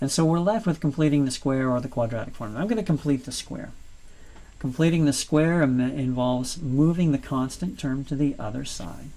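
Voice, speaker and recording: This man has a normal speaking voice, pitched fairly high with ordinary variation. He talks at a fairly quick pace. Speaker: math teacher. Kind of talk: lecture.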